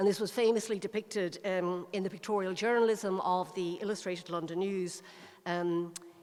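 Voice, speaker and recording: With an Irish accent, a woman speaks at a moderate pace in a fairly low pitch, her intonation monotone and flat. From Ireland. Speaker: local historian. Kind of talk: lecture.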